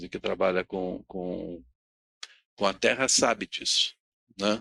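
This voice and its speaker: Recorded very cleanly against a silent background, a man talks at a fairly slow pace in a dry, close sound with no echo. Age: 60s. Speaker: panel speaker on sustainability. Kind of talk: talk at a public event.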